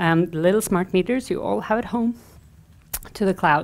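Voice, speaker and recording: Her voice shows ordinary pitch variation as the woman speaks. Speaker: conference speaker. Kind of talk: conference talk. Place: stage.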